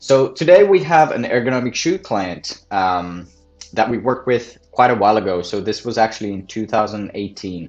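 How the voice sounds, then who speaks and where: A man with a non-native accent speaks at a medium pitch while music plays in the background. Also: lively intonation, moderate pace. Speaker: marketing agency owner. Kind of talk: case study presentation.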